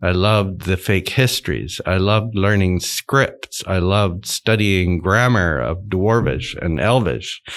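On a very clean recording with a silent background, a man with an American accent talks at a fairly slow pace with hardly any pauses, his very deep, low pitch showing vocal fry and ordinary pitch variation. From mixed: Japan, Netherlands, United States. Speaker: theology professor. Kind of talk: interview. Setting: studio. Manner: halting, many fillers.

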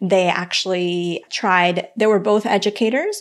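A Spanish accent with fairly even intonation. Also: woman. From Colombia. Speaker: financial counselor and podcaster. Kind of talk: casual interview chat.

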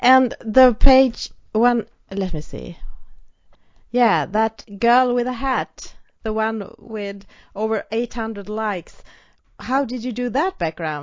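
Speaking at a very slow pace with long, frequent pauses, a woman's loudness swings widely. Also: fairly high pitch for a woman, ordinary pitch variation. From Sweden. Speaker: podcast host. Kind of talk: scripted announcement; interview conversation.

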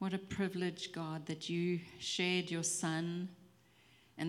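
Fairly low in pitch, a woman speaks at a fairly slow pace. Room echo is audible. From South Africa. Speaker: pastor's wife. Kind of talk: prayer. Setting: church.

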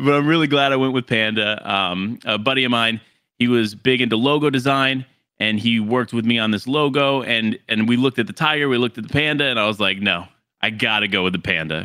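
With a plain, everyday voice, a man speaks at a medium pitch and a fairly quick pace, using ordinary pitch variation. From Florida. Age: 20s. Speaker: gaming content creator. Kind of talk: casual chat.

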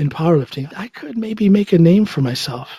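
With a Midwestern American accent, the speaker has a dark, mellow tone and ordinary pitch variation. The sound is dry and close, with no echo. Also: man. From US Midwest, Ohio. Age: 50s. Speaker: musician, comedian and powerlifter. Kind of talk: interview.

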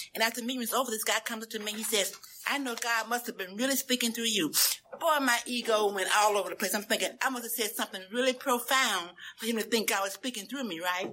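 Very fast, animated delivery in a Southern US accent. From US South (Memphis, Tennessee). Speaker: recovery speaker. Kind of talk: testimony.

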